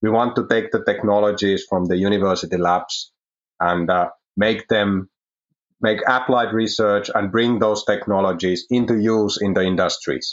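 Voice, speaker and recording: At a moderate pace, a man speaks with a fairly low pitch, fairly even intonation and very even loudness. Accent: Finnish. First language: Finnish. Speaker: research manager. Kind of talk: interview.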